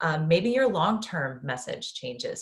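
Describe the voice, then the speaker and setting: A somewhat breathy woman's voice, very deep and low in pitch, at a fairly slow pace. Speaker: business coach. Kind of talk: webinar workshop. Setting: online webinar. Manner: many filler ums.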